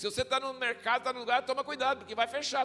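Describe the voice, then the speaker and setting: A man speaks in a raised, projected voice at an extremely high pitch. Music plays in the background. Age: 60s. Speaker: visiting pastor. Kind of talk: sermon. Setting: church. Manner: conversational, animated.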